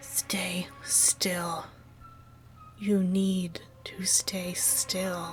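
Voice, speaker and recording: A female-sounding voice whispering in a put-on character voice, with faint music in the background. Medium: read story. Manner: harsh, strained, low and urgent.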